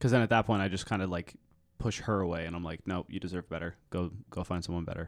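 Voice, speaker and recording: In a very clean recording with a silent background, a man with a very deep, low pitch talks at a very fast pace with fairly even intonation. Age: 20s. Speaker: podcast guest. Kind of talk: casual chat. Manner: low energy.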